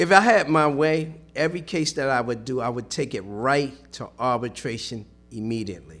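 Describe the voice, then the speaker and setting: Speaking at a moderate pace, a man has a plain, everyday voice, medium pitch and lively intonation. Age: 60s. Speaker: union representative. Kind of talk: casual chat.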